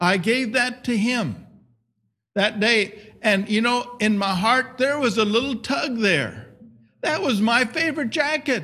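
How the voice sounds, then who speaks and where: A man's raised, projected voice at an extremely high pitch, bright and sharp in tone, with ordinary pitch variation, very even loudness and a fairly slow pace. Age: 70s. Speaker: missionary. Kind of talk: sermon. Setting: church.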